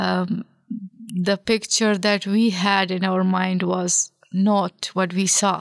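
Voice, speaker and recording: At a very slow pace, a woman speaks with monotone, flat intonation and very even loudness, the sound dry and close with no echo. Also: medium pitch for a woman. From Afghanistan. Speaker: former parliamentarian and refugee. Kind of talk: casual interview.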